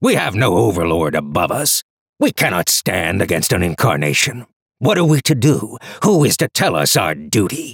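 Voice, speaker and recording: A man's put-on character voice, growling and fairly low, with very wide pitch swings at a moderate pace, in a dry, close sound with no echo. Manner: mocking, boisterous, expansive.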